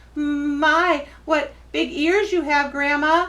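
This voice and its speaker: In a put-on character voice, a woman speaks at a very slow pace and a high pitch. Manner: nervous, shaking.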